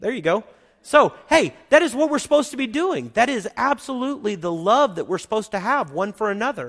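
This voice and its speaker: An American accent comes from a man with an extremely high pitch and very wide pitch swings. He talks at a fairly quick pace on a very clean recording with a silent background. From Oklahoma. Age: 40s. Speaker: pastor. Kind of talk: sermon. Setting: church.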